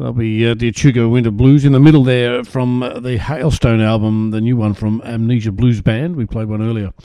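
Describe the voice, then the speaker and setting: With an Australian accent, the speaker moves at a fairly quick pace and keeps a fairly even intonation. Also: man, medium pitch for a man, hardly any pauses. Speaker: radio host. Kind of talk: radio DJ patter introducing tracks. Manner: relaxed, chatty, easygoing; hesitant, filler-heavy, casual.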